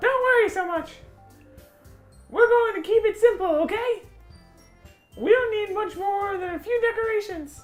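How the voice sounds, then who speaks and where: Speaking in a put-on character voice at an extremely high pitch, a woman leaves long, frequent pauses while faint music plays in the background. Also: moderate pace. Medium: game stream. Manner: upbeat, calm.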